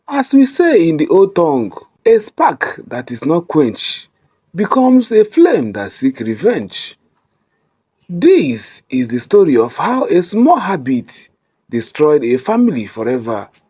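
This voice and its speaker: With a Nigerian accent, a man talks at a fairly slow pace in a high pitch for a man, his dark, mellow tone rising and falling in very wide pitch swings. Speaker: storyteller. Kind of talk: emotional moral story narration.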